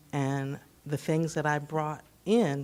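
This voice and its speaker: A soft-spoken woman with a very deep, low pitch. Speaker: teacher and family historian, presenter. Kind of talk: presentation to a luncheon audience. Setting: room with live audience, microphone.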